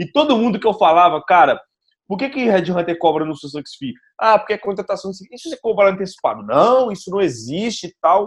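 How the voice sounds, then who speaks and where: Lively intonation and big swings in loudness mark this fairly quick delivery. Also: man, high pitch for a man. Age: 20s. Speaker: startup founder and CEO. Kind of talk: casual chat.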